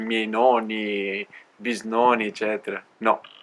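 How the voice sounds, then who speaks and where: With noticeable background noise behind him, a man talks at a very slow pace in a medium pitch with monotone, flat intonation. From Alto Adige, Italy. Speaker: cycle traveller. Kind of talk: interview. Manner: concise.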